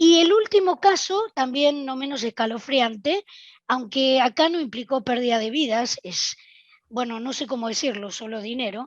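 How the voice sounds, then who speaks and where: A woman's high voice at a moderate pace, with lively intonation, big swings in loudness, and a dry, close sound with no echo. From Argentina. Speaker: software testing speaker. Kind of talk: conference talk.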